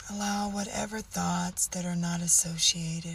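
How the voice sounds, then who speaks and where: The tone is gentle and soothing, with noticeable background noise behind the voice. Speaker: meditation guide. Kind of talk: guided meditation. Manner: slow, soothing and calm; gentle, instructive, with long pauses.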